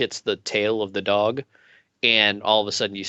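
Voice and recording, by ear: The voice reads aloud naturally against a quiet background.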